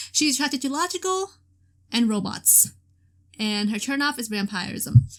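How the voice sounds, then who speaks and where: A woman speaks loudly at a moderate pace, her high pitch swinging very widely. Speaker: gaming video creator. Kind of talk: let's play commentary. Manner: hesitant, many fillers.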